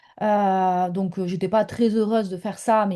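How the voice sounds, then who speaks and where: A woman's medium-pitched voice, dark and mellow in tone, with fairly even intonation against a quiet background. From southern France. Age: 30s. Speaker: mentor, former stay-at-home mother. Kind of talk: interview testimony. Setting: home office, video call. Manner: hesitant, many fillers.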